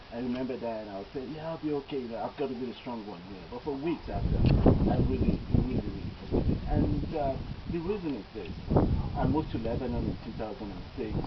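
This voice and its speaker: Talking at a very fast pace, a man shows ordinary pitch variation. Noticeable background noise and audible room echo come through. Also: medium pitch for a man. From Nigeria. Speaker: doctor. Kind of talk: eulogy.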